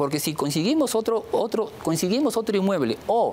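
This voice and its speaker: Over light background noise, a man talks at a moderate pace with very wide pitch swings. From Peru. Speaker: public official, engineer; interviewee. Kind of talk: TV interview. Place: studio.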